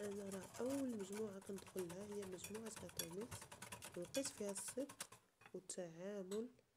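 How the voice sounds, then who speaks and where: A woman with a Moroccan accent speaks at a fairly slow pace and medium pitch, her intonation fairly even, over noticeable background noise. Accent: Moroccan Darija. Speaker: cooking YouTuber. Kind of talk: cooking tutorial.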